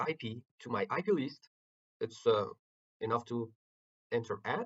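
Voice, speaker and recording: Speaking with a non-native accent, a man goes at a fairly slow pace while his pitch swings very widely. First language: not English. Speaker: network engineering instructor. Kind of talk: tutorial. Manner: halting, many filler words.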